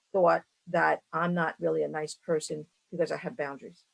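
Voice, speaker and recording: A woman with a Brooklyn accent speaks at a moderate pace in a dry, close sound with no echo. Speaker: entrepreneur and women's mentor. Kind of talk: interview answer.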